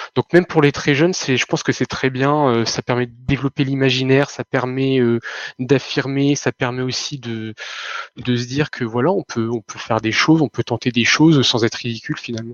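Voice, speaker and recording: A man speaks at a fairly quick pace in an ordinary speaking voice. His pitch is medium and his intonation fairly even. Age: 30s. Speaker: retail worker, gaming fan. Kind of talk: casual chat.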